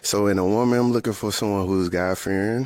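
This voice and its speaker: Noticeable background noise sits under a man speaking with fairly even intonation. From North Carolina, Charlotte. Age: 30s. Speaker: dating show contestant. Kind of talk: casual chat. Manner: halting.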